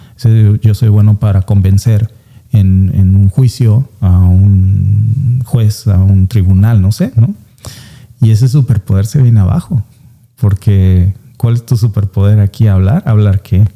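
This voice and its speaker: Very slowly and with a strong Veracruz accent, a man speaks in a fairly low pitch with a dark, mellow, somewhat breathy tone, very even loudness and fairly even intonation, in dry, close sound with no echo. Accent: strong coastal Veracruz Mexican. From Mexico, coastal Veracruz (Alvarado). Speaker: immigrant, former lawyer. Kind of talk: interview.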